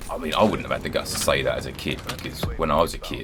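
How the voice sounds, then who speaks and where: With a British accent, a man talks at a very fast pace amid noticeable background noise and audible room echo. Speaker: gaming YouTuber. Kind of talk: casual commentary over gameplay.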